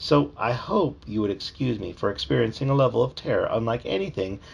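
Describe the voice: The voice reads the text out in a plain way.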